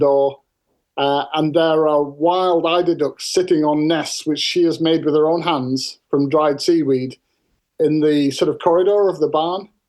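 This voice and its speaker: A man speaks in a Cumbrian accent at a fairly high pitch. His intonation is monotone and flat, at a moderate pace. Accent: northern English (Cumbrian). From northern England. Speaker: farmer and author. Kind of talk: interview storytelling.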